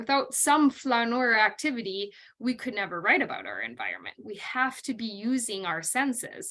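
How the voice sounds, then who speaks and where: Bright and sharp in tone, the voice carries a North Dakota accent. Delivery is at a moderate pace with lively intonation. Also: woman. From North Dakota, US. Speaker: college literature instructor. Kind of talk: recorded lecture. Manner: conversational with frequent um fillers.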